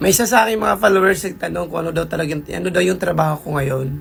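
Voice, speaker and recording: Very fast speech over music in the background. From Philippines. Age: 40s. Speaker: vlogger. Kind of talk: casual vlog monologue.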